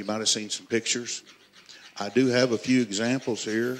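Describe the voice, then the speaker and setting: In a South Arkansas accent, a man speaks at a medium pitch. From US South, South Arkansas. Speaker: master bladesmith. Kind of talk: live demonstration. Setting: workshop with live audience.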